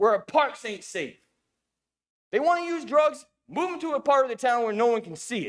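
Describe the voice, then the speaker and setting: A man shouting at an extremely high pitch, with very wide pitch swings, big swings in loudness and long, frequent pauses. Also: moderate pace. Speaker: resident giving public comment. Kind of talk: public comment. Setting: city council meeting. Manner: loud, yelling.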